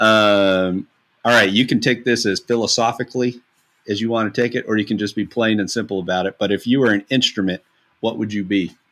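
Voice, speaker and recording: Fairly low in pitch and with a Kentucky accent, a man talks at a fairly quick pace on a very clean recording with a silent background. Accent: Kentucky Southern US. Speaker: podcast host, music therapist. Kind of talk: casual interview.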